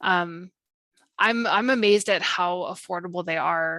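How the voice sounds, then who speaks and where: A woman speaks in a bright, sharp tone, and the sound is dry and close with no echo. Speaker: workshop presenter. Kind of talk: casual chat. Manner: fast.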